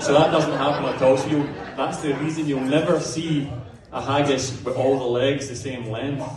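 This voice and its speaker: In a Scottish accent, a man with a fairly high pitch and monotone, flat intonation speaks at a moderate pace amid noticeable background noise and audible room echo. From Scotland, Glasgow. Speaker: comedian. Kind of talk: stand-up. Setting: Burns supper with live audience.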